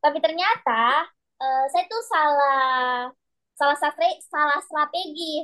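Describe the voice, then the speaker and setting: In a Makassar accent, a raised, projected voice moves at a very slow pace with ordinary pitch variation. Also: woman, high pitch for a woman. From Sulawesi, Indonesia. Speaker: private math tutor. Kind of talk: online class teaching.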